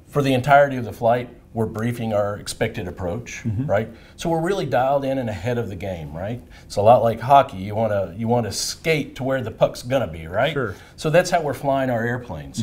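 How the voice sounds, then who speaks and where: A man speaks at a fairly quick pace with lively intonation and a somewhat breathy sound. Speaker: flight training instructor. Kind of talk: interview answer. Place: meeting room. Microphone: lapel.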